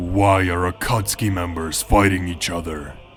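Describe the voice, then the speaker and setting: Against clear background noise, a man growls at a moderate pace in a put-on character voice with a very deep, low pitch. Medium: read story. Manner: cold, curt.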